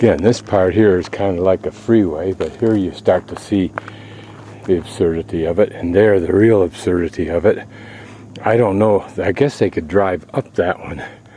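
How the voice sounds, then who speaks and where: There is noticeable background noise behind a man with a very deep, low pitch. He talks at a moderate pace with ordinary pitch variation. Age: 60s. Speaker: travel vlogger. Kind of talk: video narration. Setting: outdoors. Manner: casual.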